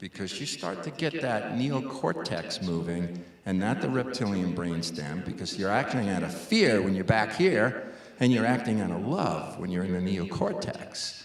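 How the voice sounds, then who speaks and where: A man with an American accent, fairly low in pitch, with lively intonation at a moderate pace, amid audible room echo and noticeable background noise. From New York City (Brooklyn). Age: 60s. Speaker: conservation scientist. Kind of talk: public lecture Q&A.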